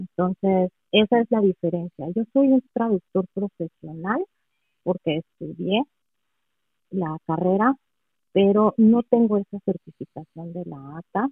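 At a fairly slow pace with long, frequent pauses, a woman speaks at medium pitch with ordinary pitch variation. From Mexico City. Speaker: professional translator. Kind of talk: casual interview.

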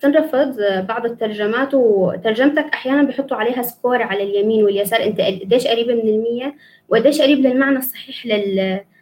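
A woman with a fairly high voice talks moderately fast, her pitch varying in an ordinary way. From Damascus, Syria. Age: 20s. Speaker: student and English teacher. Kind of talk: live interview. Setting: video call, live stream.

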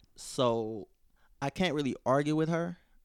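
The recording is very clean, with a silent background and a dry, close sound with no echo. A man speaks with an American accent and ordinary pitch variation. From St. Louis, Missouri. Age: 20s. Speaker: stand-up comedian. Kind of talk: casual chat.

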